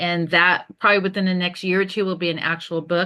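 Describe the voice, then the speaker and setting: The woman's tone is bright and sharp, her pitch fairly low. She talks at a very fast pace against a quiet background. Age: 60s. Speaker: entrepreneur and podcast host. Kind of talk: interview. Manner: animated.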